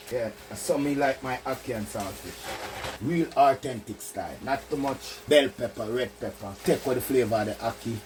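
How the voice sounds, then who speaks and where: Speech at a moderate pace comes with noticeable background noise underneath. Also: man. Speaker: home cook. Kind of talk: cooking tutorial talk to camera. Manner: upbeat.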